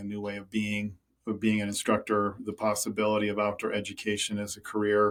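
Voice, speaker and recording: A very fast man with an Upper Midwest accent and fairly low pitch, on a very clean recording with a silent background. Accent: Upper Midwest American. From US Midwest, rural Minnesota. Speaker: climber and conservationist. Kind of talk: podcast interview. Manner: casual, with frequent fillers and repetitions.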